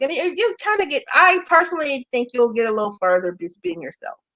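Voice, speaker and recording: A woman with an American accent, very wide pitch swings and a very fast pace. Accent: country twang. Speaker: entrepreneur and golf business founder. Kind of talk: interview. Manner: casual.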